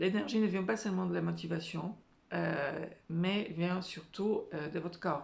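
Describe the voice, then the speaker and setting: Audible room echo fills the space. Within it, a woman talks at a fairly slow pace. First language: not French (speaking French). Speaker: career and life coach. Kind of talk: motivational talk to camera. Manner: hesitant, many filler sounds.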